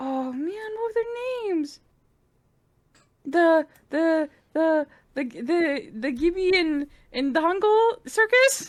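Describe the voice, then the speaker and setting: Using a put-on character voice at an extremely high pitch, a woman speaks very slowly with long, frequent pauses. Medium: actual play. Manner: rambling, naive, stammering.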